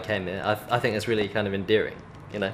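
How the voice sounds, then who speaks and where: Amid noticeable background noise, a man with a British accent speaks at a medium pitch. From England. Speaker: film student. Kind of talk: interview answer.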